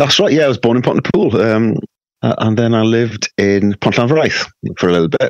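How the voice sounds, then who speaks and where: A man's medium-pitched voice with a West Wales accent, fairly quick pace and very even loudness, dry and close with no echo. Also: ordinary pitch variation. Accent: West Wales Welsh. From Wales (raised in Carmarthen, Swansea area, Pembrokeshire). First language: Welsh. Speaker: rock guitarist. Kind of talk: casual chat.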